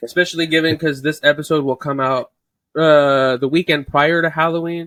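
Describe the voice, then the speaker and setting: With ordinary pitch variation, the voice comes across dry and close, with no echo. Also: man. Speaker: podcast co-host. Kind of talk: casual chat.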